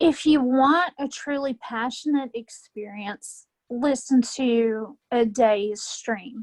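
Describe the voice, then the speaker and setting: A woman's very slow, high-pitched speech in a Southern US accent. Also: ordinary pitch variation, hardly any pauses, dry, close sound with no echo. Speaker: wrestling fan, podcast guest. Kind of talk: casual chat interview.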